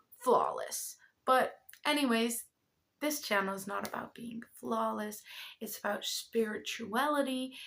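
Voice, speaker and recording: With a Dutch accent, a high-pitched woman speaks at a fairly slow pace with lively intonation. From Netherlands. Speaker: spiritual content creator and card reader. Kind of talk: casual vlog announcement. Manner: hesitant, stumbling over words.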